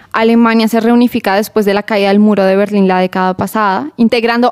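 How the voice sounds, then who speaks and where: With a normal speaking voice, a woman talks at a fairly high pitch and a fairly quick pace, her intonation fairly even and the sound dry and close with no echo. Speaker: radio host. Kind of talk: radio show monologue.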